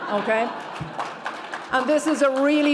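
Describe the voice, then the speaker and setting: A woman with an Irish accent at a moderate pace, her intonation fairly even, with audible room echo and noticeable background noise. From Ireland. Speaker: lawyer, award recipient. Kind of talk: award acceptance speech.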